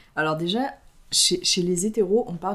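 A normal speaking voice from a woman, medium in pitch, with ordinary pitch variation. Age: 20s. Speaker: podcast co-host. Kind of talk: casual chat.

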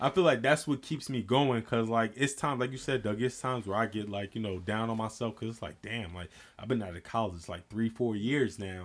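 A man with an ordinary speaking voice talks at a fairly quick pace with hardly any pauses, his medium pitch showing ordinary variation while his loudness swings widely. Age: 20s. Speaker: podcast guest. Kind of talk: casual chat.

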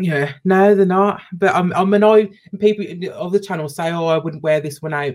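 With a British accent, a woman speaks at a moderate pace. Her pitch sits in the medium range. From UK, Jamaican parents. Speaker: youtuber. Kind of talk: casual chat.

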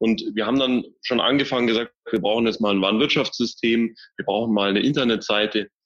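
A man speaks at a moderate pace in a medium pitch with fairly even intonation. He has a plain, everyday voice. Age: 30s. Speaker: managing director of a packaging wholesaler. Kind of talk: interview.

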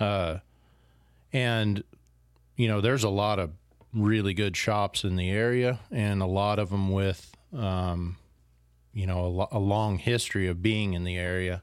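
Someone with an American accent speaks at a fairly slow pace with fairly even intonation and long, frequent pauses, in a very clean recording with a silent background. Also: man, fairly low pitch for a man. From far northern California. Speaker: fly shop owner. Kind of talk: casual chat. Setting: sitting at a home over a beer.

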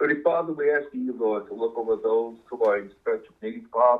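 He uses a plain, everyday voice and keeps his intonation fairly even. His pace is fairly quick. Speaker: congregation member leading prayer. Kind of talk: prayer.

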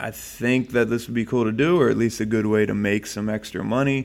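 A man speaks with an American accent at a fairly quick pace, his pitch fairly low. His intonation stays fairly even, and it is an unremarkable speaking voice. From New Jersey. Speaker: fitness coach and podcast co-host. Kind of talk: casual chat.

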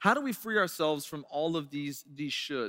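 A man's bright, sharp voice with lively intonation and a fairly quick pace. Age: 40s. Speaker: pastor. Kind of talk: sermon. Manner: casual, conversational.

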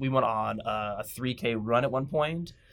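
Here is an ordinary speaking voice: a man with an American accent at a medium pitch and fairly even intonation. The recording is very clean, with a silent background. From Washington State, US (Tacoma). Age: 30s. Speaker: professional wrestler and wrestling coach. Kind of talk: casual interview. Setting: studio.

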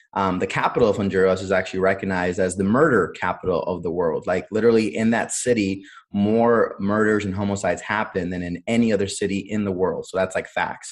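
A man with an American accent and a plain, everyday voice speaks at a fairly quick pace and a fairly low pitch. His intonation is fairly even, and the background is quiet. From US Midwest, Cleveland, Ohio. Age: 30s. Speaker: entrepreneur and Marine veteran. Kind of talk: interview conversation.

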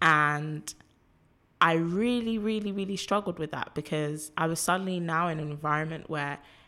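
A woman with a London accent speaks at a moderate pace in a very deep, low pitch with ordinary variation. Her tone is bright and sharp, captured in a very clean recording with a silent background. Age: 20s. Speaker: activist and filmmaker. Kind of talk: casual chat.

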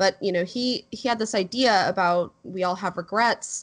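A woman with an unremarkable speaking voice, moderate pace and fairly even intonation, over a quiet background. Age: 30s. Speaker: film podcast panelist. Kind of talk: casual film review discussion.

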